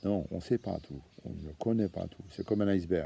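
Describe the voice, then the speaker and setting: A man with a Franche-Comté accent, a dark, mellow tone and a fairly slow pace. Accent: Franche-Comté accent, kept. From Franche-Comté, eastern France. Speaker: association founder, activist. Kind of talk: monologue video address. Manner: hesitant, many fillers and repetitions.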